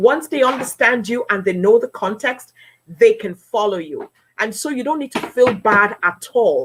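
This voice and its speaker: An animated woman speaks in a high pitch with an African accent. Her pitch swings very widely at a fairly slow pace. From Nigeria. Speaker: politician and broadcaster. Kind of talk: interview.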